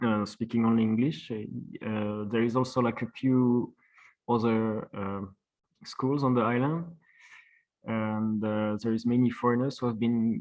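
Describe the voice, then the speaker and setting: In a French accent, a man speaks at a medium pitch and a fairly slow pace. His intonation is monotone and flat. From France. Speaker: traditional plasterer. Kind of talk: webinar presentation. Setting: online webinar. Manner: halting, many fillers.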